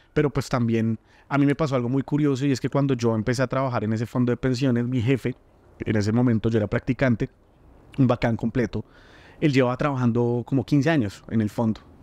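Delivered at a very fast pace in a dark, mellow tone, the speech has fairly even intonation and very even loudness, with a dry, close sound and no echo. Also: man, medium pitch for a man. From Colombia, Bogotá. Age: 30s. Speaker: entrepreneur and food content creator. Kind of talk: interview conversation.

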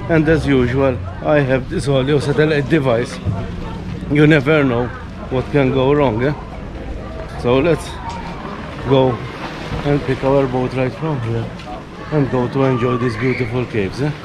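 Long, frequent pauses break up speech at a moderate pace, with fairly even intonation. Crowd noise can be heard in the background. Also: man. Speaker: travel vlogger. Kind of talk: casual vlog chat. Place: waterside. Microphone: phone near.

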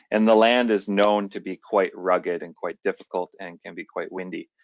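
A fairly quick pace in a dry sound with no echo. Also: man. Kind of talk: lecture. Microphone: headset.

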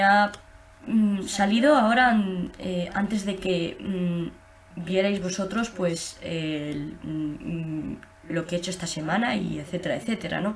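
A woman talks at a very slow pace, with ordinary pitch variation and light background noise behind her. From Spain. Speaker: gaming youtuber. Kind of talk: gameplay commentary. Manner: halting. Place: home room. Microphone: webcam.

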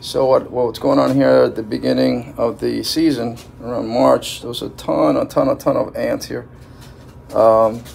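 Light background noise under a man talking. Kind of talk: tutorial. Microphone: phone near.

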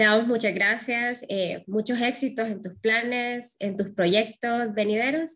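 The speech moves at a fairly slow pace with fairly even intonation over a quiet background. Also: woman, fairly high pitch for a woman. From Honduras. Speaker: interviewer. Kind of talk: interview. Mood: warm, grateful. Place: home room. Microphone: webcam.

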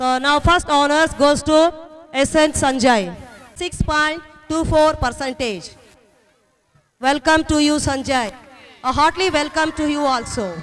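Speech comes at a very slow pace, broken by long, frequent pauses. Light background noise sits underneath. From India. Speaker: school event emcee. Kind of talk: ceremony announcements. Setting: school stage with audience. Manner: halting. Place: stage.

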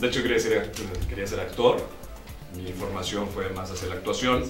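Clear music can be heard behind the voice. The speaker, a man, talks at a fairly quick pace. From Mexico (Pachuca, Hidalgo). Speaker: announcer and voice actor working at a major TV network. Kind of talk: interview answer. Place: studio.

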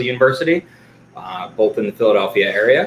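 A man talks at a moderate pace and with ordinary pitch variation, with light background noise and audible room echo around him. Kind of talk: lecture. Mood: excited, friendly. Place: home room. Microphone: webcam.

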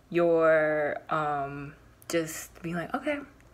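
A woman's voice at a fairly low pitch. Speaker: tarot reader. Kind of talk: casual tarot reading chat. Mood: calm, reassuring. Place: home room. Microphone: phone near.

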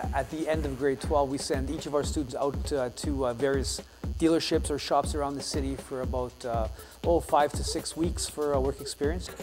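A man speaks at a fairly quick pace with clear music playing in the background. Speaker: shop instructor. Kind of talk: interview answer. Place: classroom.

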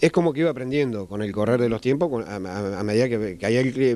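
Moving at a moderate pace, a man speaks in a dark, mellow tone with ordinary pitch variation. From Argentina. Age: 50s. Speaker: traditional metal craftsman. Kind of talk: interview. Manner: halting, many fillers. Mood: calm, reflective. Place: workshop. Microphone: handheld.

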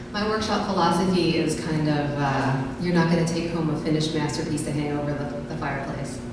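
Over clear background noise and audible room echo, a woman talks at a fairly quick pace in a low, raspy voice with fairly even intonation.

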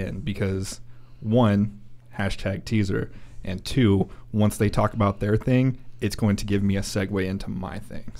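At a moderate pace, a man with fairly low pitch speaks in a fairly even tone, leaving long, frequent pauses. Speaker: podcast co-host. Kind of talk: casual chat. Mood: playful, joking. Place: studio. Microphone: studio mic.

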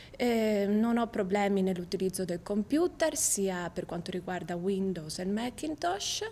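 With light background noise behind her, a woman at a medium pitch speaks at a fairly slow pace with lively intonation and hardly any pauses. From Italy, Venice; Italy. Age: 20s. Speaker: university student. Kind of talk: video CV self-presentation. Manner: slightly halting, with fillers. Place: studio.

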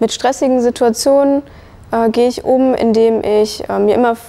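A woman's high-pitched voice at a fairly slow pace, with ordinary pitch variation. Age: 20s. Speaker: early childhood educator; trained childcare educator. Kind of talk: testimony. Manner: hesitant, many fillers. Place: hall. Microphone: lapel.

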